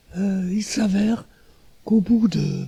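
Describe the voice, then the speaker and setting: Very slow male speech with ordinary pitch variation, a dry, close sound with no echo and music in the background. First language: German (speaking French). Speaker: artist. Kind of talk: interview. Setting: artist's studio. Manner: halting.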